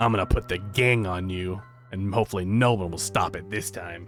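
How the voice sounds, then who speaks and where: Over clear background music, a man uses a put-on character voice, fairly low in pitch and at a fairly quick pace. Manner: threatening, scheming.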